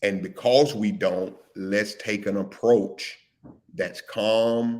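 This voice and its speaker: A man at medium pitch with ordinary pitch variation, speaking at a very slow pace. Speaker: live stream show host. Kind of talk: casual discussion.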